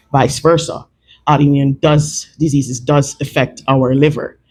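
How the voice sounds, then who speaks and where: The speech moves at a moderate pace and sounds somewhat breathy. Its intonation stays fairly even. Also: man. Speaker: clinical herbalist presenting products. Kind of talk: product talk to a live audience. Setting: live event with audience, mic available.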